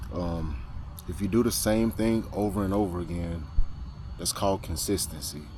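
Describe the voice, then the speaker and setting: In a room with audible echo, a man speaks at a very deep, low pitch. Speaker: FPV drone pilot, video creator. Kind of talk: casual vlog talk. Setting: outdoors at flying spot. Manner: fast.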